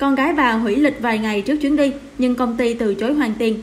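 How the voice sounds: Fast-paced and fairly high in pitch, a woman speaks with ordinary pitch variation.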